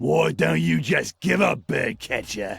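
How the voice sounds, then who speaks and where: A man's put-on character voice, raspy and very deep, fairly slow, with very wide pitch swings. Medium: video game. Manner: blunt, simple.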